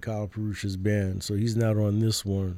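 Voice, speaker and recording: With a New York accent, a man speaks at a moderate pace in a dark, mellow tone with a fairly low pitch. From Brooklyn, New York City. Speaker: jazz musician. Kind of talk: radio interview. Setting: radio studio.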